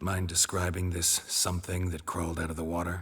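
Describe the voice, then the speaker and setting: A man puts on a raspy character voice, pitched very deep and low. He talks fairly quickly in a flat monotone. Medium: video game. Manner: terse, dry.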